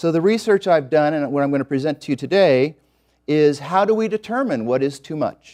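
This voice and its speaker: Using lively intonation, a man with an American accent speaks at a moderate pace in a fairly high pitch. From Los Angeles, US. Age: 50s. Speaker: eco-activist and congressional candidate. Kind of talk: presentation to an audience.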